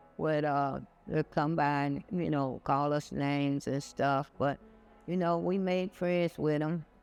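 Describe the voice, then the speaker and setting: A man talks at a fairly slow pace and fairly high pitch. His intonation is fairly even, with music in the background. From US South, Charlotte, North Carolina. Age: 70s. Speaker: local resident sharing memories. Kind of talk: personal storytelling. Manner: halting.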